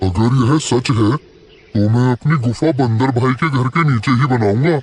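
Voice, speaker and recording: A man puts on a cartoonish character voice at medium pitch. He goes at a moderate pace. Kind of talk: children's cartoon voice acting.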